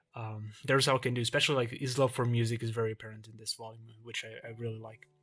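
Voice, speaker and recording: A man at medium pitch with a Portuguese accent, very fast and monotone, with flat intonation and big swings in loudness. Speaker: YouTuber, manga collector. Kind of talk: casual collection showcase. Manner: hesitant, many fillers.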